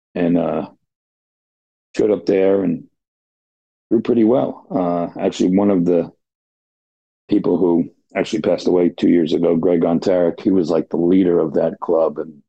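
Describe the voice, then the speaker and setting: A man's very deep, low voice with a New Jersey accent, fairly even intonation, very even loudness, and long, frequent pauses. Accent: New Jersey American. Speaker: blind darts player, retiree. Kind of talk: podcast interview.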